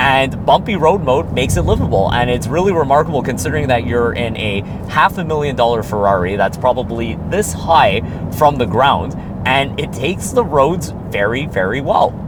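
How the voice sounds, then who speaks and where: A man speaks in an animated tone with very wide pitch swings. Audible room echo and noticeable background noise surround him. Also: medium pitch for a man, moderate pace. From Quebec, Montreal. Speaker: car reviewer. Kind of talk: casual talk while driving. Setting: in a car.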